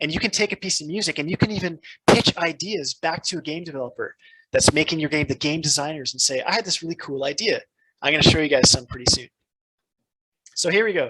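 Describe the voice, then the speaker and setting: A man with a fairly high pitch and a bright, sharp tone talks at a very fast pace with ordinary pitch variation, in a dry, close sound with no echo. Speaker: game audio lecturer. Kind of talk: lecture. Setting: classroom. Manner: animated.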